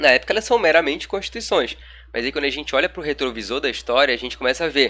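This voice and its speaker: Bright and sharp with vocal fry, a man talks at a fairly quick pace and fairly high pitch, with ordinary pitch variation. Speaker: law lecturer. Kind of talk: recorded online lecture. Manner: casual, colloquial.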